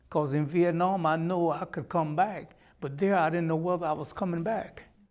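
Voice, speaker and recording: At a moderate pace, a high-pitched man with a Southern US accent talks with fairly even intonation. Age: 70s. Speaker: reform school survivor and war veteran. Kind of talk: testimony.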